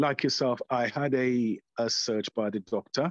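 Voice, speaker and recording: In a dry, close sound with no echo, a man speaks at a very slow pace. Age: 60s. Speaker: prostate cancer survivor. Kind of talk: panel discussion. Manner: halting.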